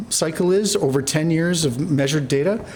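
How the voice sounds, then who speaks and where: A man talks with ordinary pitch variation while audible room echo hangs around his voice. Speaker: energy engineer presenting at symposium. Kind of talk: conference presentation. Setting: conference stage. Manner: fast.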